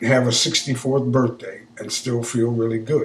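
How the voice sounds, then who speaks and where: A man talks at a fairly slow pace in a flat, monotone way. His voice is somewhat breathy. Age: 60s. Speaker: vlogger. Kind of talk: casual monologue. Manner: halting.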